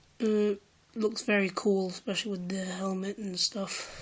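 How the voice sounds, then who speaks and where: A quiet woman's voice at medium pitch, flat and monotone in intonation. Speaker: toy unboxing video maker. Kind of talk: casual unboxing talk to camera. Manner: quiet, hesitant with many fillers.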